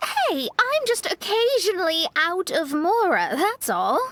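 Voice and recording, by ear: A woman puts on a character voice with an extremely high pitch, a fairly bright tone, and big pitch swings, speaking at a fairly slow pace.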